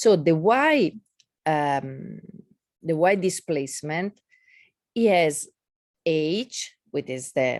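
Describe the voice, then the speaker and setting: A woman speaks with a non-native accent in a very deep, low voice, her intonation lively. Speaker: physics lecturer. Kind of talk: lecture. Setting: video call. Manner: halting.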